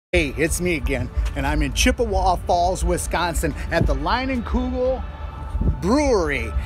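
Clear music plays in the background as a man speaks in a dry sound with no echo. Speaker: travel vlogger. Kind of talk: casual vlog chat. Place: street. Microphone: phone near.

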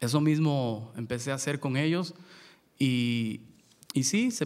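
A man uses an ordinary speaking voice at a medium pitch, with ordinary pitch variation. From Mexico, port of Veracruz. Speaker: luthier and son jarocho musician. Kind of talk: panel talk. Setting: stage with audience. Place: stage. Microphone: podium.

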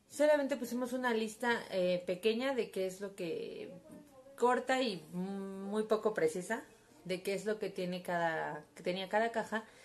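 Faint music plays in the background. The speech moves at a fairly slow pace with ordinary pitch variation. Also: woman. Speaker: vlogger. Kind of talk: casual vlog chat. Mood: wry, storytelling. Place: home room. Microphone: phone near.

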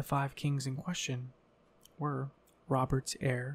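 A soft-spoken man at a fairly slow pace. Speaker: ASMR creator. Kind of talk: ASMR lore reading; casual chat. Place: home room. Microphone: studio mic.

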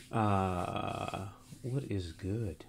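The man's voice has a dark, mellow tone and fairly even intonation. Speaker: music livestreamer. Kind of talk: casual stream chat. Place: home room. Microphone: studio mic.

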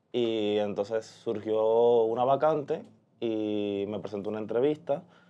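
A man with ordinary pitch variation. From Cuba, Holguín; Cuba. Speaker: pianist and social media manager; podcast guest. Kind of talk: interview. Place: studio.

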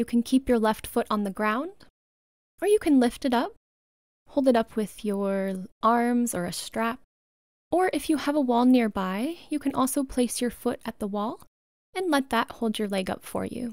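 A woman speaks, soft-spoken, at a high pitch in a gentle, soothing tone, with long, frequent pauses. The background is quiet and the sound dry with no echo. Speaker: yoga instructor. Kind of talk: guided meditation. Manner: slow, soothing, calm; gentle, unhurried, soft-spoken. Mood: calm, soothing bedtime tone.

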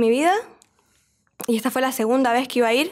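A woman speaks in a high pitch with ordinary pitch variation. The background is quiet. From Bolivia, Santa Cruz de la Sierra; Bolivia. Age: 20s. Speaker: singer; podcast guest. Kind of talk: casual interview. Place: studio. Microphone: studio mic.

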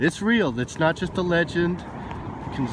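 Noticeable background noise sits under a man speaking at a moderate pace with ordinary pitch variation. The sound is dry, with no echo. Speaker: outdoor explorer vlogger. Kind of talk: casual vlog chat. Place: open country. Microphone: phone near.

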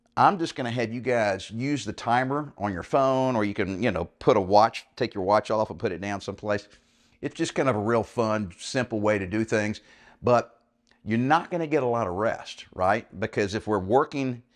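A man speaks at a moderate pace with ordinary pitch variation against a quiet background. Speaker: fitness coach. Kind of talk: tutorial. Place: home room.

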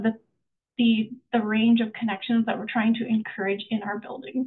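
Her delivery is monotone and flat, at a moderate pace. The woman leaves long, frequent pauses. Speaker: housing specialist. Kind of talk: webinar presentation. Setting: video call. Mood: warm, enthusiastic. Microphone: video call.

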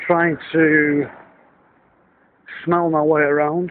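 With a northern English accent and a fairly high pitch, a man speaks in a dry sound with no echo over light background noise. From Northern England. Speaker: business consultant and fund manager. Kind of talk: casual video diary talk to camera. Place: street. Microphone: phone near.

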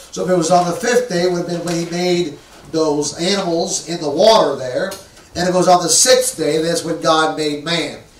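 A man's high-pitched voice at a moderate pace, with audible room echo. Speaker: pastor. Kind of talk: sermon. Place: church.

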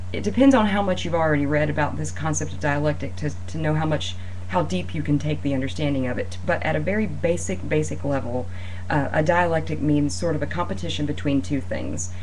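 Fairly quick speech over light background noise. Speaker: student or instructor explaining a reading. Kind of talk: lecture. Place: home room. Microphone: webcam.

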